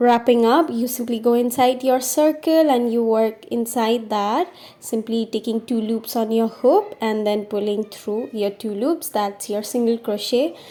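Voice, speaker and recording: The delivery is in an ordinary speaking voice, at a fairly slow pace with ordinary pitch variation. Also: woman, fairly high pitch for a woman. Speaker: crochet teacher. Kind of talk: craft tutorial voice-over. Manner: upbeat, friendly.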